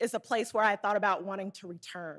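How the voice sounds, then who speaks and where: A woman with a Southern accent speaks at a medium pitch with ordinary pitch variation. The recording is very clean, with a silent background. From Arkansas, small town. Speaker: Federal Reserve community development researcher. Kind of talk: conference presentation. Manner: casual, hesitant.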